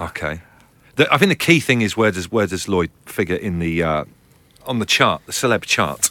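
A man talks at a moderate pace in an unremarkable speaking voice. His pitch is fairly low. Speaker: podcast host. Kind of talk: casual chat.

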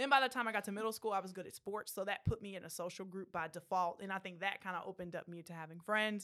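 A woman with an American accent speaks at a very fast pace with hardly any pauses, her bright, sharp tone swinging widely in loudness. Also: medium pitch for a woman, ordinary pitch variation. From Central Texas. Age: 30s. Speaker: social worker and poet. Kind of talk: casual interview chat. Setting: studio.

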